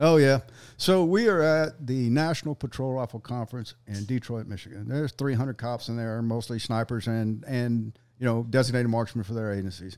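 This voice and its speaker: In a Southern US accent, a man speaks at a medium pitch. His pitch varies in an ordinary way. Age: 60s. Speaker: sniper instructor. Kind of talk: casual chat. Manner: animated.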